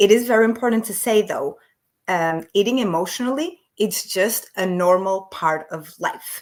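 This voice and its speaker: A woman with a non-native accent talks at a moderate pace in a fairly high voice, her intonation lively. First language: not English. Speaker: emotional eating coach, business owner. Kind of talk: podcast interview.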